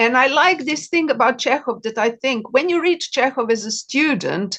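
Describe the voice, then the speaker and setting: A woman speaks with a Serbian accent. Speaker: novelist. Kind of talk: interview.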